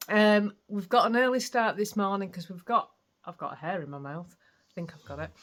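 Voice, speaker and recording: With a Yorkshire accent, a woman speaks with ordinary pitch variation. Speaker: craft vlogger. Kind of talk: casual vlog chat.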